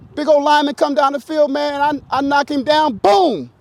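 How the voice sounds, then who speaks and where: Dry and close with no echo, an animated voice moves at a fairly quick pace over noticeable background noise. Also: man. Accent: American. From US Midwest, Canton, Ohio. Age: 60s. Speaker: former pro football player. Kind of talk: motivational talk to a high school team.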